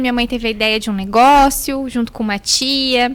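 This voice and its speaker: A woman's voice, high in pitch. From Paraná, Brazil (Porecatu). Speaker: journalist. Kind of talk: interview. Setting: studio.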